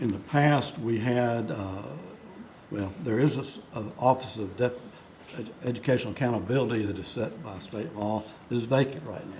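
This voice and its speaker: A man at a moderate pace with ordinary pitch variation and big swings in loudness, plus audible room echo and noticeable background noise. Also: medium pitch for a man. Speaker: state school board member. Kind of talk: board meeting discussion. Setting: board meeting room. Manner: halting, many fillers. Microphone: too quiet, not speaking into microphone.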